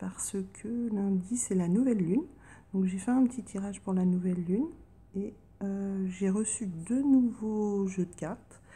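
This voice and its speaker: A soft-spoken woman with a medium-pitched, somewhat breathy, dark, mellow voice talks at a moderate pace with ordinary pitch variation. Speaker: tarot card reader. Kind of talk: casual chat.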